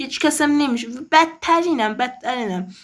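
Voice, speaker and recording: The delivery is very slow. This woman's pitch shows ordinary variation. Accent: Azeri. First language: Azerbaijani Turkish (speaking Persian). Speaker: gaming youtuber. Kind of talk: casual gameplay commentary.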